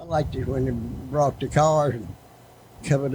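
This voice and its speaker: With a Southern Virginia accent, a man talks at a moderate pace and medium pitch. His voice is somewhat breathy, with ordinary pitch variation. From Martinsville, Virginia. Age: 80s+. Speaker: retired speedway manager. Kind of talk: storytelling interview. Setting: front porch. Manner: terse.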